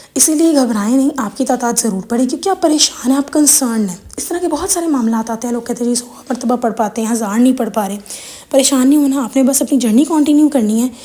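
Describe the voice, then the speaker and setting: Over noticeable background noise, a woman with a high pitch speaks at a fairly quick pace with ordinary pitch variation. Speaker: religious content creator. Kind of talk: religious Q&A talk.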